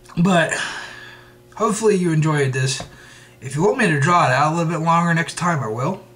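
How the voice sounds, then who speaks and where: Over music and audible room echo, a high-voiced man talks at a fairly quick pace, broken by long, frequent pauses. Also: ordinary pitch variation. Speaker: TV show reviewer. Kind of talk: video review monologue. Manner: fast; stumbling over words.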